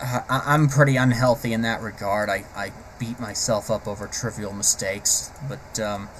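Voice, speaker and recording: At a moderate pace and medium pitch, a man talks with fairly even intonation over noticeable background noise. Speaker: vlogger, aspiring animator. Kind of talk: personal vlog monologue. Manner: halting, stammering; unscripted, hesitant.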